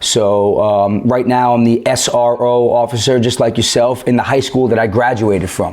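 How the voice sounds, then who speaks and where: In a New York accent, a man speaks at a moderate pace and medium pitch with hardly any pauses, his intonation flat and monotone and his loudness very even. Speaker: police officer. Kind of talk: podcast interview. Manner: halting.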